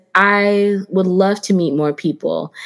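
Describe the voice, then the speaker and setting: In a very clean recording with a silent background, a woman with an ordinary speaking voice talks at a fairly slow pace, at medium pitch and with fairly even intonation. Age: 40s. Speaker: podcast host. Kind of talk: solo podcast monologue. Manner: warm and conversational.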